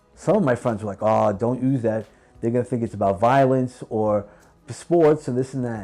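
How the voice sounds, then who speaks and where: Over music in the background, the speaker uses a slight New York accent, a moderate pace and ordinary pitch variation. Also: man, medium pitch for a man. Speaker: podcast host and executive trainer. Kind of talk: interview conversation.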